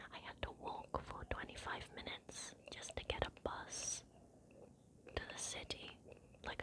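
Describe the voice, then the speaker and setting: A woman whispering at a moderate pace with an English accent amid noticeable background noise. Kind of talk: ASMR ramble. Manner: whispered.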